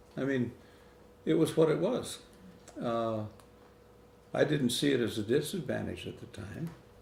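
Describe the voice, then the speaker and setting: Male speech at a moderate speed amid noticeable background noise and audible room echo. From Michigan (Lapeer County). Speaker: interviewee in family documentary. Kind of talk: interview storytelling.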